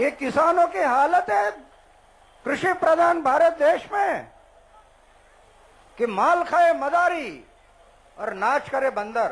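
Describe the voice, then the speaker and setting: An extremely high-pitched man speaks with lively intonation, broken by long, frequent pauses. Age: 70s. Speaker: anti-corruption activist. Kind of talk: public speech to a rally. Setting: outdoors.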